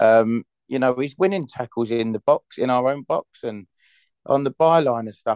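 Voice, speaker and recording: With a London accent, a man speaks at a moderate pace in a medium pitch, his intonation lively. The sound is dry and close with no echo, and the background is quiet. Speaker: football fan. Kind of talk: casual chat. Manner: animated.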